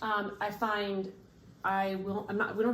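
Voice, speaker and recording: A woman at medium pitch talks at a moderate pace. Noticeable background noise and audible room echo fill the recording. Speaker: parent training as a family consultant. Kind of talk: casual conversation with spouse about a training project.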